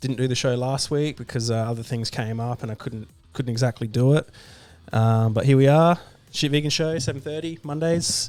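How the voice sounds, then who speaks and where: With music in the background, a man speaks at a fairly quick pace with ordinary pitch variation. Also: medium pitch for a man. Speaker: vegan livestream host. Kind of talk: casual livestream talk. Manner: hesitant, many fillers.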